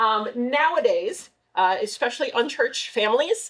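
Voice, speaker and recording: A woman's high voice swings very widely in pitch. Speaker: children's ministry director. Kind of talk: volunteer training briefing. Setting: church. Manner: fast.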